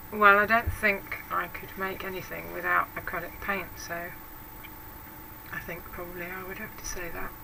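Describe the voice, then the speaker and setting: Amid noticeable background noise and audible room echo, a woman speaks at a moderate pace with big swings in loudness. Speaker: craft YouTuber. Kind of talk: casual vlog talk answering tag questions. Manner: hesitant, with many fillers.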